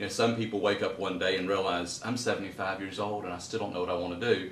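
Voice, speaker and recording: In a Southern US accent, the speaker talks at a very fast pace with monotone, flat intonation, amid audible room echo and noticeable background noise. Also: man, fairly low pitch for a man. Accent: Southern US (Georgia). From US South, Middle Georgia (Kathleen). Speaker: garden designer and author. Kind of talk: interview. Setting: at his home.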